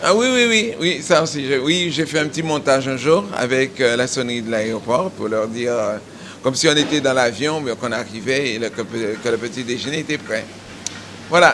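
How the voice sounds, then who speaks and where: A man talks at a moderate pace with medium pitch and ordinary pitch variation. Noticeable background noise runs underneath. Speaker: cooking teacher and head chef. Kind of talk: casual interview and kitchen instructions. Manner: loud.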